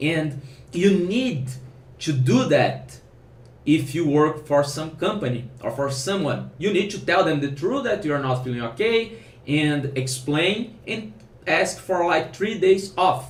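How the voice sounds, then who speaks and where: With a non-native accent, a man speaks at a fairly slow pace in a fairly high voice with lively intonation, amid audible room echo. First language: Portuguese. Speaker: programmer and online course founder. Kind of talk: casual advice vlog. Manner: halting, with self-corrections.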